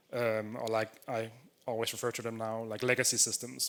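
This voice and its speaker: With a Danish accent, a man speaks at a medium pitch. His pace is fairly quick. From Denmark. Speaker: software developer, conference speaker. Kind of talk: conference talk. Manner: casual, filler-heavy.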